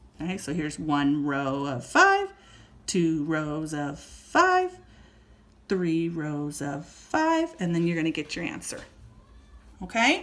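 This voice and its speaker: The speech moves at a very slow pace with long, frequent pauses. Audible room echo surrounds it. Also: woman. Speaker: elementary school teacher. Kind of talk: lesson for young pupils.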